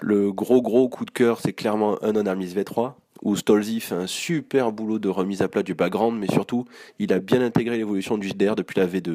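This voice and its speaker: A man talks at a moderate pace in a fairly low pitch. His tone is dark and mellow, and his intonation is fairly even. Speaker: role-playing game enthusiast. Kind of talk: recorded monologue.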